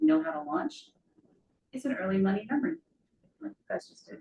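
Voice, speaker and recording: Quiet and mumbling, a woman talks at a high pitch with very wide pitch swings. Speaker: financial therapist. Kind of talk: talk to a live group with Q&A. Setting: room with live audience. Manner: quiet, mumbling.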